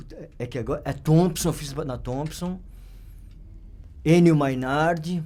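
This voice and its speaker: A man speaks in a fairly high, dark, mellow voice with fairly even intonation. He goes at a fairly slow pace, with long, frequent pauses and big swings in loudness. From São Paulo, Brazil (north zone). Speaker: photographer. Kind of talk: interview storytelling. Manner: halting, many fillers and repetitions.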